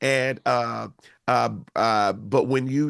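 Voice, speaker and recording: The recording is dry and close with no echo, in a quiet background. A man with an American accent speaks at a medium pitch. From Houston, Texas. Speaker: singer-songwriter. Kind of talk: interview. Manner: loud; articulate.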